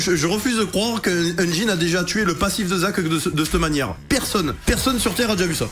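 Over clear music in the background, a man speaks at a fairly quick pace in a high pitch, with ordinary pitch variation and very even loudness. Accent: southern French. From Marseille. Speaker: video game streamer. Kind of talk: gameplay commentary. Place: home room. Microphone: studio mic.

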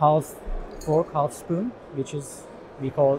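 This man talks fairly slowly while noticeable background noise is present. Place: hall.

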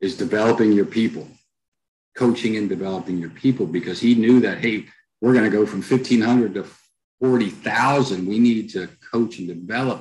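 A man in a normal speaking voice, fairly low in pitch, with an American accent, a moderate pace and ordinary pitch variation. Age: middle-aged. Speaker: author and culture consultant; podcast guest. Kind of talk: interview. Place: home room. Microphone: headset.

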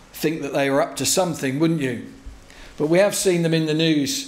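The intonation stays fairly even, and room echo can be heard. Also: man. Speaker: visiting pastor. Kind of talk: sermon. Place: church. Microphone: podium.

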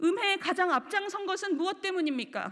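Her voice extremely high, a woman speaks with ordinary pitch variation. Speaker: political commentator. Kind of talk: panel discussion. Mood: angry, accusatory. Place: hall. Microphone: podium.

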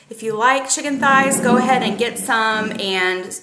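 Fairly slow speech from a woman, with light background noise and audible room echo. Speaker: home vlogger. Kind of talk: casual vlog chat. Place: home room. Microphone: phone near.

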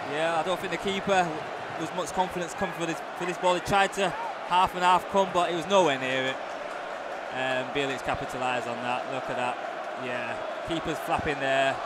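The speaker goes at a fairly quick pace but leaves long, frequent pauses. The sound is dry with no echo, set against loud background noise. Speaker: co-commentator, match analyst. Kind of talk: live football co-commentary with analysis. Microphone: headset.

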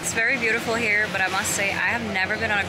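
A woman speaks at a very fast pace. Loud noise fills the background. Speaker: travel vlogger. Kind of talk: casual vlog chat. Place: beach. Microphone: phone near.

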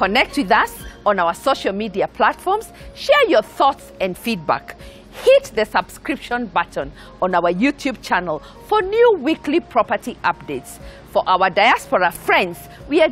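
Faint music plays in the background. A woman speaks at a fairly slow pace. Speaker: TV show host. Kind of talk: presenter address to camera. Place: garden. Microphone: lapel.

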